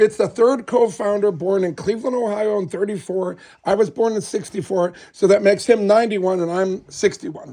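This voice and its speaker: The man's voice is high-pitched, with a dark, mellow tone. He talks at a fairly quick pace with ordinary pitch variation. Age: 60s. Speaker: restoration company salesperson. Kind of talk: casual sales chat with customers.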